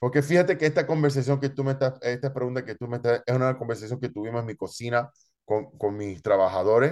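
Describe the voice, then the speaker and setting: A man's medium-pitched voice at a very fast pace, with ordinary pitch variation, over a quiet background. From Chicago, Logan Square area. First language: Spanish. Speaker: chef and restaurant owner. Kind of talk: interview. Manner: halting, many repetitions.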